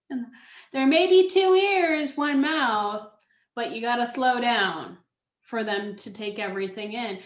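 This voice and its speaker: At a fairly slow pace, a woman's high voice makes very wide pitch swings and big swings in loudness, with audible room echo around her. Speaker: public speaking coach. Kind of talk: webinar presentation. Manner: speeds up when excited; slows down to repeat key points.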